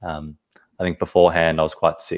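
Speaking at a fairly quick pace, a man with an Australian accent uses a very deep, low pitch and a flat, monotone delivery. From Sydney, Australia. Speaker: podcast guest. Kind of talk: casual interview. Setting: video call.

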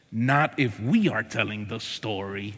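In a very clean recording with a silent background, a put-on character voice speaks at a fairly slow pace. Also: man, medium pitch for a man. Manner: exaggerated, playful.

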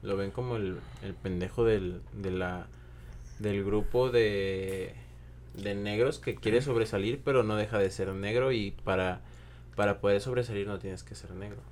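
Speaking fairly slowly in a Mexican accent, a man uses very wide pitch swings and big swings in loudness. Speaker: podcast guest. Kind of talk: casual discussion.

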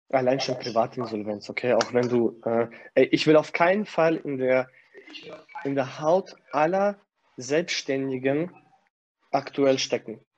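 Long, frequent pauses break up a man's speech at a fairly slow pace. His voice sits at a medium pitch with ordinary pitch variation. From Kazakhstan. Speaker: gym manager. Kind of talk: casual interview.

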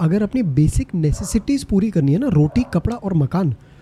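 A man speaks in a high pitch with lively intonation. Music is heard in the background. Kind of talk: casual chat.

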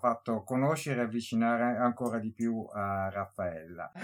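A man talks at a fairly slow pace. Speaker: podcast host, book reviewer. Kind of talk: casual interview. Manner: halting; animated.

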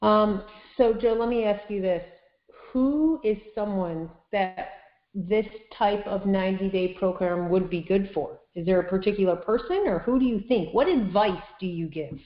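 A woman with a plain, everyday voice speaks at a fairly slow pace in a medium pitch with ordinary pitch variation. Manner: upbeat, laughs often.

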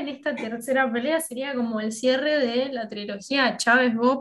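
In an Argentine accent, a woman talks at a moderate pace. Her pitch is high and her intonation fairly even. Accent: Argentine Spanish (Rioplatense). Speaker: podcast co-host. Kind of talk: interview.

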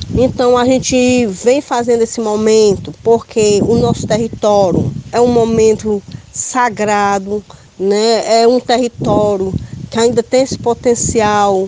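A woman's fairly high, very slow voice with fairly even intonation and very even loudness over noticeable background noise. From Ceará, Brazil (Itapipoca). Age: 50s. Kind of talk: interview.

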